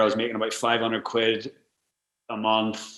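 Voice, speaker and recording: Bright and sharp in tone, a man's medium-pitched voice carries a Northern Irish accent. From Northern Ireland. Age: 30s. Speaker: travel blogger and adventurer. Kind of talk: casual interview chat. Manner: fast, filler-heavy with repeated words.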